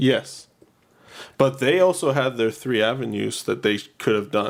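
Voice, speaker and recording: A man speaks at a fairly slow pace with vocal fry. His pitch varies in an ordinary way. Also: medium pitch for a man. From Quebec, Canada. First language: French. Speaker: podcast co-host. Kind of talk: casual chat.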